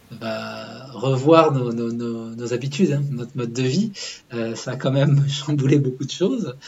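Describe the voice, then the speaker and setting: Noticeable background noise and audible room echo surround the voice. It moves at a fairly slow pace with ordinary pitch variation. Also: man, medium pitch for a man. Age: 40s. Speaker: public-sector legal manager, father. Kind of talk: interview testimony. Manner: halting, many hesitations.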